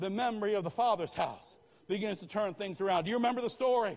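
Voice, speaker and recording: A man's animated, very fast delivery with a high pitch and ordinary pitch variation. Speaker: pastor. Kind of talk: rousing revival sermon, call-and-response exhortation to the congregation. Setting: church with live congregation. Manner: punchy, staccato commands hammered in short repeated bursts; animated, fervent, repeatedly urging the crowd to answer amen.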